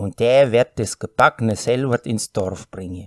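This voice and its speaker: The speaker has a Volga German accent and ordinary pitch variation. The very clean recording has a silent background and a dry, close sound with no echo. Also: man. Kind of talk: folk tale reading.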